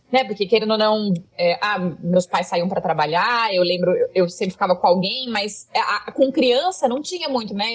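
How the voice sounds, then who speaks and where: At a moderate pace, a woman with a rural Brazilian accent speaks at a fairly high pitch with lively intonation. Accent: Brazilian countryside. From Brazilian countryside. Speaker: content creator. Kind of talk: casual interview chat. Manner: loud.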